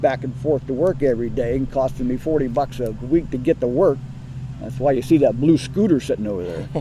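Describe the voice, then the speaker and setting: Amid noticeable background noise, a man with a medium pitch talks at a very fast pace. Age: 60s. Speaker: cemetery superintendent. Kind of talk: interview.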